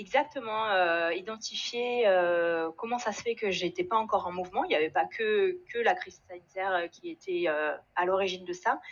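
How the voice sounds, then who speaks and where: Her pitch is medium and varies in an ordinary way. The woman talks at a moderate pace. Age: 40s. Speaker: engineer in career change. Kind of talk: testimony. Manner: halting, many repetitions and fillers.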